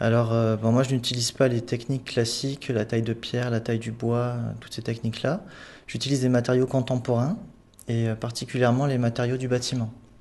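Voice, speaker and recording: Over a quiet background, a man with a southern French accent talks at a fairly quick pace, his medium-pitched voice monotone and flat. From southern France, Sète. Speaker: sculptor, artist in residence. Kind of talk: studio interview.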